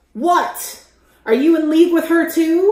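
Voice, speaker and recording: A woman puts on a character voice at an extremely high pitch, speaking at a fairly slow pace. There is a slight echo. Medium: actual play. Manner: cold, condescending.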